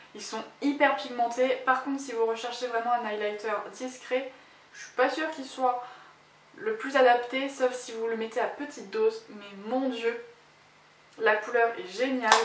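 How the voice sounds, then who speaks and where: Amid audible room echo and noticeable background noise, a woman speaks fairly slowly at a high pitch, her intonation fairly even but her loudness swinging widely. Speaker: beauty vlogger. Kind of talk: product review vlog. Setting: at home.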